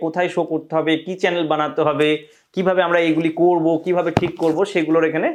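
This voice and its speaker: The speaker is a man. His pitch is fairly high. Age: 20s. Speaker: YouTuber, magician turned mind coach. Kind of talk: video monologue to viewers.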